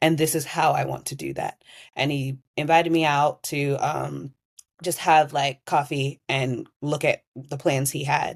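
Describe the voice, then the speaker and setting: This voice has an American accent. The delivery comes at a fairly slow pace. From United States. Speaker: tennis community organiser. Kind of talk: casual interview.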